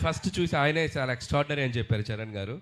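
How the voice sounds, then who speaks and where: With lively intonation and a fairly high pitch, a man talks over noticeable background noise. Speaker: film director. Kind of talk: public speech at film trailer launch event. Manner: energetic, enthusiastic.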